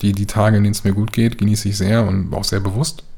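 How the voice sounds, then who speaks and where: A man with a fairly low, somewhat breathy voice and a dark, mellow tone speaks with fairly even intonation. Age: 30s. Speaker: patient living with schizophrenia. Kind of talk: interview.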